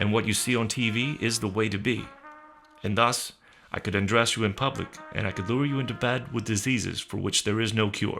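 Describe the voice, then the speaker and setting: With music in the background, a man talks using fairly even intonation. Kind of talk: spoken word reading of a radio essay. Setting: studio.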